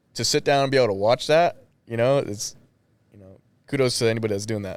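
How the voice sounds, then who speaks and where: Fairly quick delivery from a man at medium pitch. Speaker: combat sports gym owner and coach. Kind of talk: casual chat. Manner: monotone.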